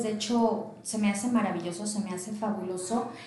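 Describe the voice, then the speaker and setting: Noticeable background noise and audible room echo around a woman speaking at a moderate pace in a fairly high voice. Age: 30s. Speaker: entrepreneur. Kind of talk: interview.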